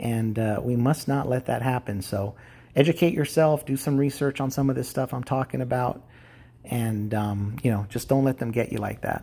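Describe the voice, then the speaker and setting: Medium in pitch with a dark, mellow tone, a man speaks at a moderate pace with ordinary pitch variation. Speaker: YouTube vlogger. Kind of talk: casual monologue to camera. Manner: halting, many fillers.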